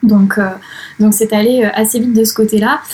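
A woman talks at a fairly quick pace and a medium pitch. Her delivery is monotone and flat, and somewhat breathy. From France, Charente-Maritime. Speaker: freelance digital strategy trainer and network founder. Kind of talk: casual interview. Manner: hesitant, many fillers.

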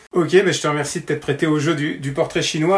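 A man speaks at a very fast pace with a fairly high pitch. His voice is somewhat breathy. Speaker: tennis club interviewer. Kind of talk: casual interview.

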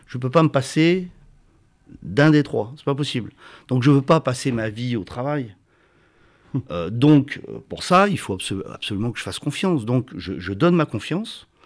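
A man talks at a moderate pace and medium pitch, with lively intonation. He takes long, frequent pauses. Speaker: company director. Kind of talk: interview. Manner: halting, with frequent repetitions.

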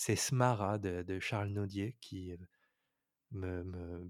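On a very clean recording with a silent background, a man with a fairly low voice speaks very slowly. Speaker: YouTube storyteller and composer. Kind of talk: interview. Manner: halting.

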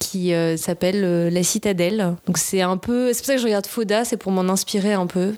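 A woman speaks in an ordinary speaking voice at a medium pitch. Her intonation is fairly even and her pace moderate. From southern France, Nice. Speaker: screenwriter and actress. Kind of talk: casual interview.

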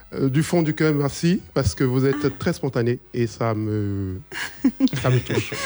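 Noticeable background noise sits behind a man speaking at a fairly slow pace. His pitch is medium and his intonation is lively. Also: very even loudness. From Ivory Coast. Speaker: singer. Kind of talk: radio interview.

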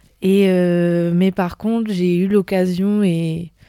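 The voice is monotone, with flat intonation, and moves at a very slow pace. The recording is very clean against a silent background. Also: woman. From southern France, near Nice. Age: 20s. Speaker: tourism master's student. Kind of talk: casual chat.

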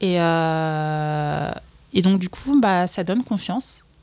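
A medium-pitched woman's voice with ordinary pitch variation, on a very clean recording against a silent background. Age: 20s. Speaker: entrepreneur. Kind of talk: casual chat. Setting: office. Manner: halting.

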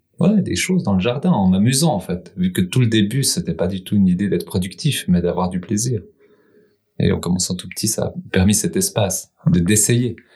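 Somewhat breathy, a man's voice has a dark, mellow tone. He keeps to a moderate pace. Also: lively intonation. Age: 40s. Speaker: market gardener. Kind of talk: casual chat.

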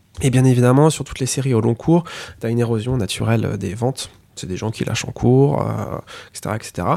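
A dark, mellow tone moves at a fairly quick pace, broken by long, frequent pauses. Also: man. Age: 30s. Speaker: manga editorial director. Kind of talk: podcast interview.

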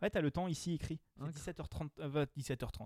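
A man with an English accent speaks at a moderate pace and a fairly high pitch in a dark, mellow tone, with a dry, close sound and no echo on a very clean recording against a silent background. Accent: self-described bad English. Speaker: podcast host, blind test quiz master. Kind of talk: casual game show chat. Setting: in-person recording around a table.

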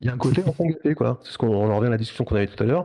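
This man's voice has a dark, mellow tone, medium pitch, some vocal fry and ordinary pitch variation. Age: 50s. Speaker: freelance graphic designer. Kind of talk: interview.

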